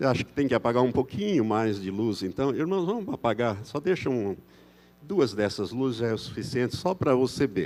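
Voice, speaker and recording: A man's voice swings very widely in pitch, captured in a very clean recording with a silent background. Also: medium pitch for a man, moderate pace. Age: 70s. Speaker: pastor. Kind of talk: sermon. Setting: church. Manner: conversational.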